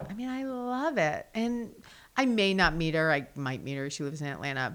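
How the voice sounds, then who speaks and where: This woman speaks with very wide swings in pitch. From New Jersey / New York City. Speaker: art museum curator. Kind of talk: casual chat. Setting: studio.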